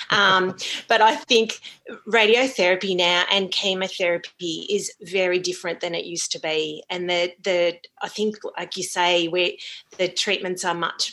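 Speaking at a fairly slow pace in an Australian accent, a woman with a medium pitch and a bright, sharp tone keeps her intonation fairly even. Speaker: GP. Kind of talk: interview.

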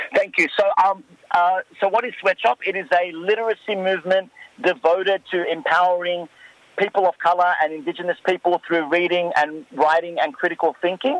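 With an Australian accent and a high pitch, a man speaks at a moderate pace with ordinary pitch variation, the sound dry and close with no echo despite noticeable background noise. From Western Sydney, Australia. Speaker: novelist. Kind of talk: radio interview.

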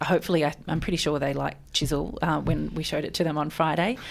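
A woman speaks with an Australian accent at a fairly quick pace. Her pitch is very deep and low, with vocal fry. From Melbourne, Australia. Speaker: magazine editor. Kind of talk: radio interview. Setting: radio studio.

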